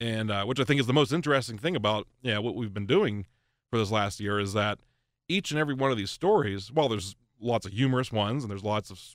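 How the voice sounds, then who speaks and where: Medium in pitch with ordinary pitch variation, a man with an American accent has a plain, everyday voice at a fairly quick pace. The recording is very clean, with a silent background. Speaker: podcast host, local history enthusiast. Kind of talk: casual interview. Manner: laughs often.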